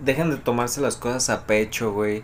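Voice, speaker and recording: A man with a Mexican accent speaks at a moderate pace and medium pitch. His intonation stays fairly even. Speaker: podcast co-host. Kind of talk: casual chat.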